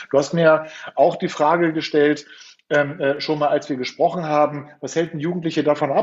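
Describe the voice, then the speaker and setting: Speaking at a fairly quick pace, a man has an unremarkable speaking voice at a fairly high pitch with fairly even intonation. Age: 50s. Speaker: youth coach. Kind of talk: interview.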